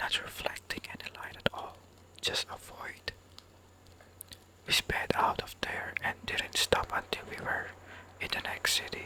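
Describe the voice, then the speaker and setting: Noticeable background noise surrounds a fairly slow whisper. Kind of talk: reading scary stories from an online forum. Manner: whispered.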